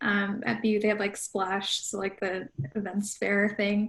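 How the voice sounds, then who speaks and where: A woman with an American accent speaks at a moderate pace in a fairly high, somewhat breathy voice. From US Midwest, Chicago suburbs. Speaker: pop culture journalist. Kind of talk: panel discussion.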